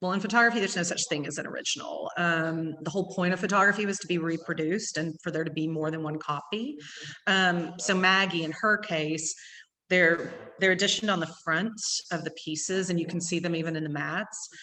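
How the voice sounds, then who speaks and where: A woman with an East Texas accent talks at a fairly quick pace, fairly low in pitch. Her tone is bright and sharp, with ordinary pitch variation. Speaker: gallery owner. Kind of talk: gallery talk. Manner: fast.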